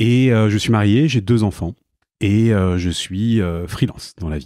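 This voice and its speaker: A man speaks at a fairly slow pace in a fairly low voice with ordinary pitch variation. The recording is very clean, with a silent background. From Paris, France. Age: 40s. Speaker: e-commerce director, freelancer. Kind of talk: interview. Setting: in person, Malakoff. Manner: hesitant, many fillers.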